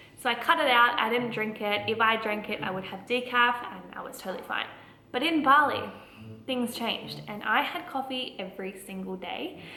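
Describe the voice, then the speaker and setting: Amid noticeable background noise and audible room echo, a woman with a fairly high pitch speaks with big swings in loudness. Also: ordinary pitch variation, moderate pace. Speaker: lifestyle vlogger. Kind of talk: casual vlog talk.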